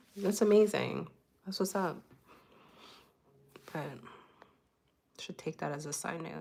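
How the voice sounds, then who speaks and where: A woman's voice with vocal fry, long, frequent pauses, big swings in loudness, and ordinary pitch variation. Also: fairly slow pace. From Afro-Caribbean heritage. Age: 30s. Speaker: streamer. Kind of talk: casual chat. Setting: livestream. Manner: halting. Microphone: new mic.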